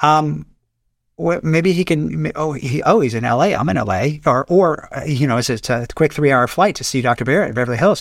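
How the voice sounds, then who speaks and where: Over a very clean recording with a silent background, a man speaks at a fairly quick pace in a fairly high pitch, with lively intonation and vocal fry. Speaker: plastic surgeon. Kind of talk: casual expert interview.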